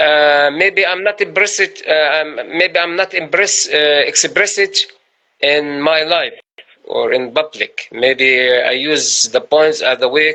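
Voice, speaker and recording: In an Arabic accent, a man with a high pitch speaks at a very slow pace and ordinary pitch variation. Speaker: poet. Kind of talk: interview. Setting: Instagram live video call. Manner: halting, many fillers.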